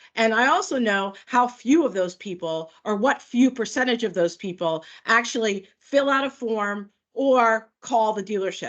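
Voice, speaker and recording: A woman with a fairly high pitch speaks with lively intonation against a quiet background. Hers is an unremarkable speaking voice. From New York. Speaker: product manager. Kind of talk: webinar presentation. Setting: video call. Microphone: video call.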